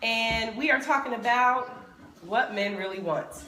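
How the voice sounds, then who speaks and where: A woman at a fairly slow pace with ordinary pitch variation, amid audible room echo and noticeable background noise. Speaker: sex educator livestream host. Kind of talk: casual livestream chat. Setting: home studio livestream.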